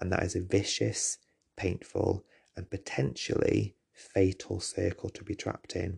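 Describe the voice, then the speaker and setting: A man talks at a fairly slow pace with a very deep, low pitch. His tone is dark and mellow, with vocal fry. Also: dry, close sound with no echo. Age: 30s. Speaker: teacher and podcast host. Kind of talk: personal monologue.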